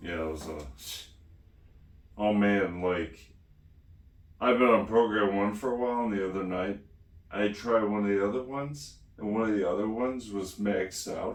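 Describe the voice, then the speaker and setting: Audible room echo surrounds a man speaking at a moderate pace in a fairly low pitch. His pitch variation is ordinary, broken by long, frequent pauses. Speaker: DBS patient vlogger. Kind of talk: casual chat.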